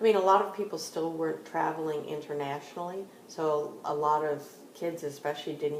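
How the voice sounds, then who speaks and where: Over noticeable background noise and audible room echo, a woman with an American accent speaks fairly quickly in a very deep, low pitch with fairly even intonation. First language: French. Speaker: interviewee, mother. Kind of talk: casual interview.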